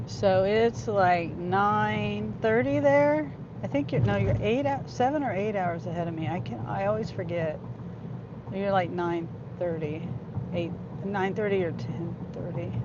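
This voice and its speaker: A woman with a fairly low pitch talks at a fairly slow pace, her pitch swinging very widely. The room echo is audible, and background noise is noticeable. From California. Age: 50s. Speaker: gig-driver vlogger. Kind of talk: live-stream chat with viewers while driving. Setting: in a car. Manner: halting.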